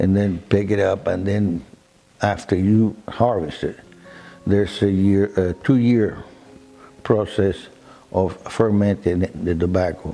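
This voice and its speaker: A voice at a fairly slow pace, broken by long, frequent pauses. Intonation stays fairly even, with music playing in the background. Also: man, fairly low pitch for a man. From Cuba. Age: 80s+. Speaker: cigar shop owner. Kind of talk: documentary interview. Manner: halting, repeats words.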